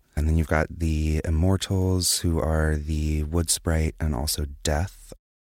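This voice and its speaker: Very clean recording and silent background, a man's very deep, low voice, intonation fairly even. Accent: American. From US South, Wilmington, North Carolina. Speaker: designer at a streaming company. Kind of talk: casual interview. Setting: studio.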